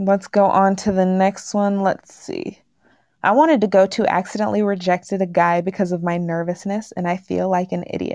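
Heard here is a dark, mellow tone in an American accent. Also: woman, medium pitch for a woman, moderate pace, quiet background. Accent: little regional accent, slight twang at times. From Washington state, US West Coast. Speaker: podcast host. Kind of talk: casual chat, reading posts aloud. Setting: livestream.

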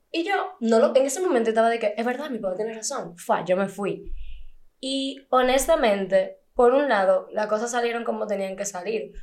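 A woman with an unremarkable speaking voice, fairly high in pitch, at a moderate pace and with lively intonation. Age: 20s. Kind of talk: casual chat.

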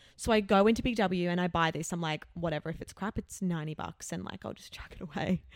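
In an Australian accent, the speaker rushes along at a very fast pace with an animated tone, hardly any pauses, ordinary pitch variation and big swings in loudness. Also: woman, fairly low pitch for a woman, dry, close sound with no echo. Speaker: podcast co-host. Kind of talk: casual chat.

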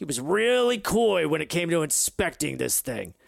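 A man puts on a character voice pitched high. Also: moderate pace. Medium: actual play. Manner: blunt, casual, slangy.

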